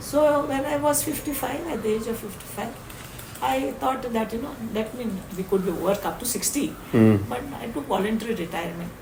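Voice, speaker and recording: A woman with an Indian accent, fairly high-pitched, at a fairly quick pace, with very wide pitch swings and noticeable background noise. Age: 80s+. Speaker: social activist. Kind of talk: interview answer.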